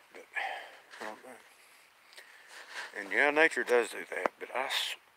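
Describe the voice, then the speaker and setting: Noticeable background noise sits behind a man with an Appalachian accent. He speaks at a moderate pace, with big swings in loudness. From Appalachian Kentucky. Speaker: bigfoot enthusiast, channel owner. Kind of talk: live stream chat. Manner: casual, halting.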